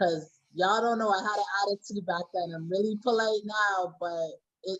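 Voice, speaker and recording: Speaking at a moderate pace with fairly even intonation, a woman has an unremarkable speaking voice. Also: medium pitch for a woman. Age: 20s. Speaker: youth care practitioner. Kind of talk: panel discussion.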